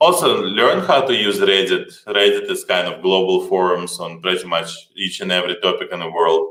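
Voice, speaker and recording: Speaking at a moderate pace with a strong Slavic accent, a man is heard against audible room echo. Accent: heavy Slavic. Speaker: startup co-founder. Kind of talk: conference talk.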